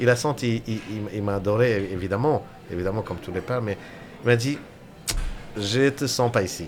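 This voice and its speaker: A man with an Indian accent speaks at a fairly quick pace with long, frequent pauses, his fairly low pitch showing ordinary variation. Noticeable background noise is present. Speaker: restaurateur. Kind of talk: casual interview chat. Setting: radio studio. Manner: halting, hesitant with fillers.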